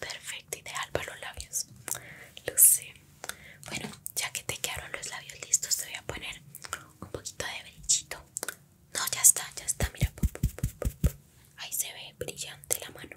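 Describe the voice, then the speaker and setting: Whispering at a moderate pace, a woman leaves long, frequent pauses, and her loudness swings widely. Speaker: ASMR roleplay creator. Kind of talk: soft-spoken ASMR roleplay chat. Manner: soft close-mic ASMR voice. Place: home room.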